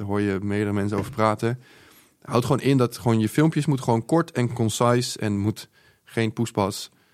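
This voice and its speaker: A man speaks at a fairly quick pace with an unremarkable speaking voice. His pitch sits in the medium range and varies in an ordinary way. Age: 20s. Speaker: social media entrepreneur. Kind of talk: casual interview. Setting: studio.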